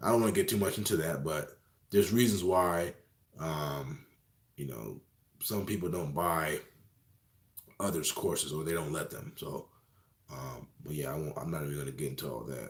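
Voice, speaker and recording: A man talks with a very deep, low pitch and vocal fry. Long, frequent pauses break up his speech. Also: ordinary pitch variation. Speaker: phone reseller and online course teacher. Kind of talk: live stream Q&A. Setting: live video stream. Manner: fast.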